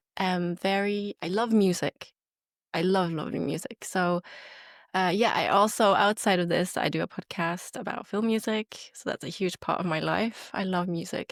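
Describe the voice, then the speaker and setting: With a Norwegian accent, a woman talks at a moderate pace and fairly even intonation. The sound is dry and close with no echo, on a very clean recording with a silent background. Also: medium pitch for a woman. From Norway. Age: 30s. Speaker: podcast co-host. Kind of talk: casual chat.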